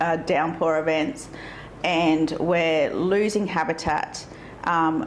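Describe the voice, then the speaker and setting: In a rural Australian accent, a woman speaks very slowly at a fairly low pitch with fairly even intonation, amid noticeable background noise and audible room echo. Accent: country Australian. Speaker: local council candidate. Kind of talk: interview.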